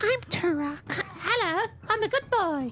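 An extremely high, squeaky put-on character voice at a fairly slow pace, with clear background noise. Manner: put-on character voice, playful.

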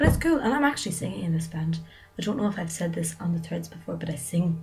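A woman with a Donegal accent talks at a very fast pace. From Ireland. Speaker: vlogger. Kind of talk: casual vlog. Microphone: webcam.

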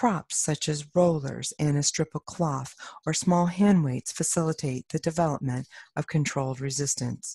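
A woman speaks in a very deep, low pitch with a somewhat breathy, dark, mellow tone. The sound is dry and close with no echo. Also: ordinary pitch variation, moderate pace, quiet background. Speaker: somatic education researcher. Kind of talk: conference presentation. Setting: stage with audience. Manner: formal.

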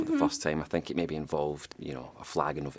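The voice carries a Scottish accent. Its intonation is monotone and flat. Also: man. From Scotland. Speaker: actor. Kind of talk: interview answer. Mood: relaxed, good-humoured. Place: studio.

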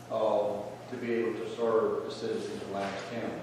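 Moderate pace amid noticeable background noise and strong room echo. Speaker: county commissioner. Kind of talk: public meeting discussion. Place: hall. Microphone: camera far.

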